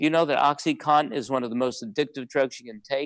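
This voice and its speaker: The sound is dry and close with no echo as a man speaks at a fairly high pitch. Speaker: practice marketing consultant. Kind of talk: webinar presentation. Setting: live webinar. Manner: fast; animated.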